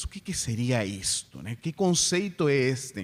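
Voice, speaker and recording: A man with a non-native accent and very wide pitch swings. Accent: foreign accent in Portuguese. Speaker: spiritist lecturer. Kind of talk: lecture.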